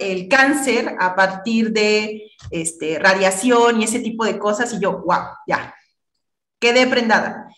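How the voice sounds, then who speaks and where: Audible room echo surrounds a woman's fairly high voice against a quiet background. Her pitch varies in an ordinary way. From Mexico, Tabasco. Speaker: physicist and high school teacher; high school teacher. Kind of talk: interview. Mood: warm, reflective. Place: home room. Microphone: video call.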